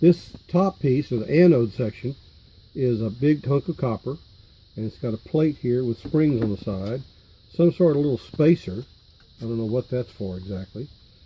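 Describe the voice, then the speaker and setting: A man with a medium pitch and a dark, mellow tone speaks at a moderate pace. His voice is somewhat breathy, with lively intonation. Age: 70s. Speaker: electronics hobbyist. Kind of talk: tutorial. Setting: home workshop. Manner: halting, with fillers and repeated words.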